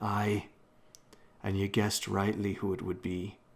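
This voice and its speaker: In a put-on character voice with a Scottish accent, a man speaks raspy and fairly low at a moderate pace, his intonation monotone and flat. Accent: Scots dialect (aye, ye). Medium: read story. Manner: plain-spoken, sure of himself.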